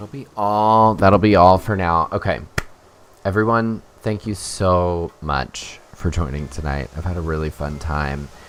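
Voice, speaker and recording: A man's very deep, low voice at a fairly slow pace, with ordinary pitch variation over noticeable background noise. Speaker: streamer. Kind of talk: live stream gameplay chat.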